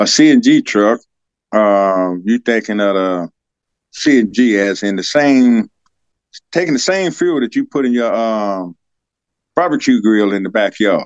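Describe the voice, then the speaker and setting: A medium-pitched man with a Southern US accent, at a fairly slow pace with long, frequent pauses. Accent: Southern US (Georgia). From US South, Georgia. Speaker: fleet manager, army veteran mechanic. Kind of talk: casual interview.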